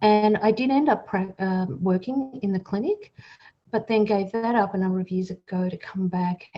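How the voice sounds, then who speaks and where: A woman's somewhat breathy voice with an Australian accent, medium in pitch, at a moderate pace with ordinary pitch variation. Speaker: psychologist and helpline director. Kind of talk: podcast interview.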